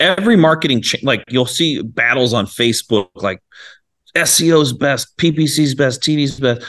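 A man with an ordinary speaking voice, fairly high in pitch, with lively intonation and a moderate pace. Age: 40s. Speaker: real estate investor. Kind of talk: interview.

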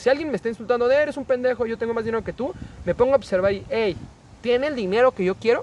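A man speaks at a very fast pace, his pitch extremely high and his pitch variation ordinary. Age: 20s. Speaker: podcast guest. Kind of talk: casual chat.

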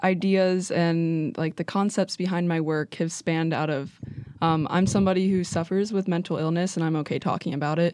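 At a moderate pace, a plain, everyday voice talks with an American accent over a quiet background. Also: woman. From West Virginia (Wheeling). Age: 20s. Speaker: college student, photographer. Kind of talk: casual chat.

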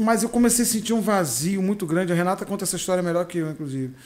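The speaker is a man with a high voice. His pitch shows ordinary variation. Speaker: comedian. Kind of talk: casual chat.

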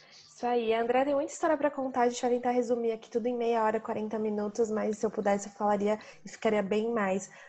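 Barely pausing, a woman talks at a very fast pace with a fairly high pitch and fairly even intonation. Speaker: travel podcast host. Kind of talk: casual interview.

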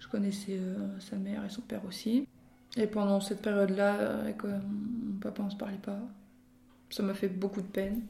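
A woman speaks with vocal fry in a dark, mellow tone and monotone, flat intonation. Her loudness swings widely, and she takes long, frequent pauses. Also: medium pitch for a woman, moderate pace. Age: 20s. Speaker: podcast guest sharing personal story. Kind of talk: personal testimony in casual chat. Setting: at the host's parents' home. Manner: hesitant, many fillers and repetitions.

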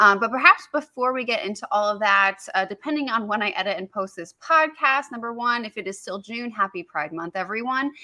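A woman speaks at a fairly high pitch in a bright, sharp tone. She barely pauses at all. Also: big swings in loudness. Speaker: podcast host. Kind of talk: casual chat. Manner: fast talker.

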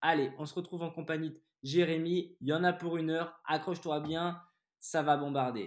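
A man speaks in an animated tone at a fairly high pitch. The recording is very clean, with a silent background. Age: 30s. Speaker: podcast host and investor. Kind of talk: interview.

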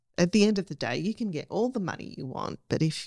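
A woman with an Australian accent is heard in a dry, close recording with no echo, very clean and with a silent background. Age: 40s. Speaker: camera operator and cinematographer. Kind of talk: casual chat.

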